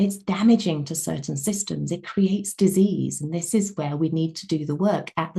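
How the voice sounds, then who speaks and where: A woman talks at a fairly slow pace in a dark, mellow tone with vocal fry and fairly even intonation. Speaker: wellness coach. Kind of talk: webinar lecture.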